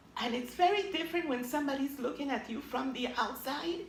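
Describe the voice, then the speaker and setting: A woman speaks with a high pitch and lively intonation. Audible room echo surrounds her voice. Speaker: author and abuse survivor. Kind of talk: interview. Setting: TV interview.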